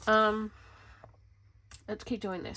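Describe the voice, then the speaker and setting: In an Australian accent, a woman speaks at a fairly quick pace with an animated tone and vocal fry. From Western Australia (Perth). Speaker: planner vlogger. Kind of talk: casual chat. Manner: rambling, animated.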